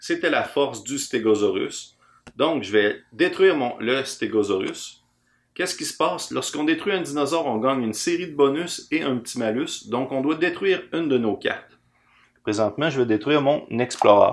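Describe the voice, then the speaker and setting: A man in a Quebec accent, at a moderate pace with lively intonation. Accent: Québécois French. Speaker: board game designer. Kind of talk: game rules explanation and playthrough. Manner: casual.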